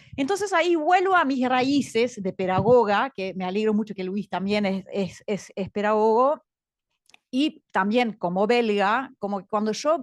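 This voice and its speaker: A woman speaks at a fairly slow pace in a fairly high pitch with lively intonation. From Belgium. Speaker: education director, panelist. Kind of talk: panel talk. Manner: hesitant, many fillers.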